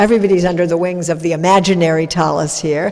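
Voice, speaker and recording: This woman has a plain, everyday voice with a fairly low pitch. She talks at a fairly quick pace. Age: 60s. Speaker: rabbi. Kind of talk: religious service address. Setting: synagogue with congregation and live stream.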